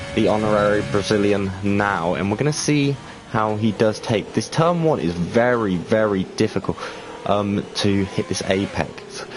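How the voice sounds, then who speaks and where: With an English accent, the speaker goes at a moderate pace with ordinary pitch variation over noticeable background noise. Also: man, fairly low pitch for a man, very even loudness. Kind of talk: live commentary.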